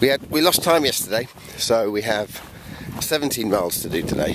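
Loud background noise sits behind a man talking at a moderate pace, the sound dry with no echo. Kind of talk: casual vlog chat. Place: open country. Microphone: phone near.

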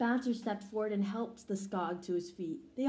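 An unforced reading voice, pitch moving in an ordinary way

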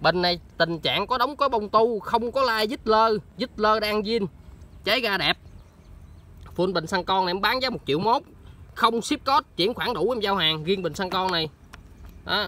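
A man with a high, raised, projected voice and a bright, sharp tone speaks at a moderate pace with ordinary pitch variation and long, frequent pauses, the sound dry with no echo. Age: 20s. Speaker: motorbike parts seller. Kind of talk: sales pitch. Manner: animated. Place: open country. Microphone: phone near.

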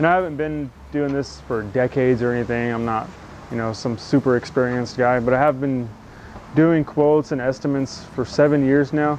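Over light background noise, a man speaks at a fairly quick pace with ordinary pitch variation, and the sound is dry with no echo. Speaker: carpentry contractor. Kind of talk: casual vlog chat. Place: street. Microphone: lapel.

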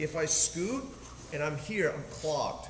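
The pitch varies in an ordinary way, with light background noise and audible room echo. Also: man. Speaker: martial arts instructor. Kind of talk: tutorial. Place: gym. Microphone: camera far.

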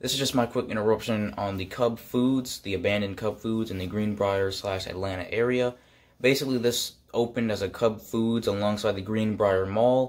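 A man with an ordinary speaking voice, fairly low in pitch, at a moderate pace with fairly even intonation. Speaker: urban exploration vlogger. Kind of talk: casual vlog chat. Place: home room. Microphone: phone near.

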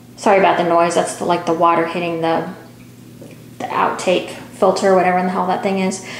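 A fairly quick pace amid light background noise and audible room echo. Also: woman. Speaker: product reviewer. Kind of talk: casual product demo chat. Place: bathroom. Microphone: phone near.

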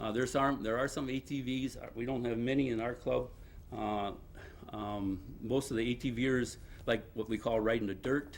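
Medium pitch from a man with an American accent, moderate pace and fairly even intonation. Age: 60s. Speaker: ATV club member speaking at public meeting. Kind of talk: public comment at village board meeting. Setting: village board meeting. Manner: halting, many fillers.

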